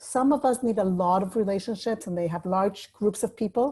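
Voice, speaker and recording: A woman with a dark, mellow tone, somewhat breathy, at a medium pitch and a fairly quick pace. Her pitch varies in an ordinary way, and the recording is very clean with a silent background. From Mexico City, Mexico. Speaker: life coach. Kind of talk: talk. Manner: fast.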